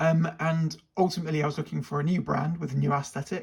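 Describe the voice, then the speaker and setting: A man races along at a very fast pace while noticeable background noise carries on. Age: 40s. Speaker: watch reviewer. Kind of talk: product review.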